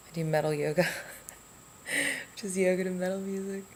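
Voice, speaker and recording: A woman's fairly low voice at a fairly quick pace, with noticeable background noise. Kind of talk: casual talk to camera.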